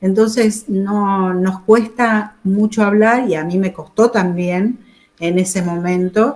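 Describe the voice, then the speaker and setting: With fairly even intonation and a medium pitch, a woman speaks at a very slow pace. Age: 70s. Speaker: war veteran nurse. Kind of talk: interview.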